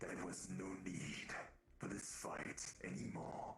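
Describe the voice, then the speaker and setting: Someone growls in a put-on character voice at a fairly slow pace, with clear background noise behind. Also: man, very deep, low pitch for a man. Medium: actual play. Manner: measured storytelling, slightly halting.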